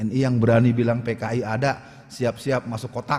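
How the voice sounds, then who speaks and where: A man at a moderate pace. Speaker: Islamic preacher / ustadz. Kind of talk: public lecture / speech on politics.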